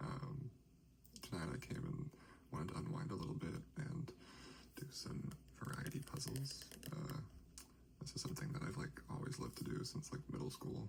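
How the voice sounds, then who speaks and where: Soft-spoken whispering moves at a moderate pace with long, frequent pauses, over noticeable background noise. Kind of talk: ASMR soft-spoken talk while doing puzzles.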